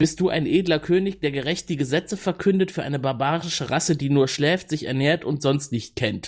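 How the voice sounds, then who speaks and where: This man has a normal speaking voice, pitched fairly high with ordinary pitch variation. He talks at a fairly quick pace with hardly any pauses. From Cologne, Germany. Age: 30s. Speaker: project manager, podcast guest. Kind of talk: casual chat. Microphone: new good microphone.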